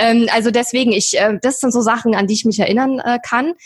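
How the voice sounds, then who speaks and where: At a very fast pace, a somewhat breathy woman speaks with a fairly high pitch in a dry, close sound with no echo. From eastern Germany. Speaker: online entrepreneur. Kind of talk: interview.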